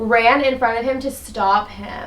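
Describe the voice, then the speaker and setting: Fairly even intonation comes through with audible room echo and noticeable background noise. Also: woman. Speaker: political podcast co-host. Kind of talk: casual chat.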